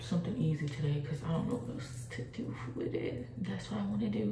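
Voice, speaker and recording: A woman's voice, with audible room echo and light background noise. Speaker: vlogger. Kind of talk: casual vlog chat. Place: bathroom. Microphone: phone near.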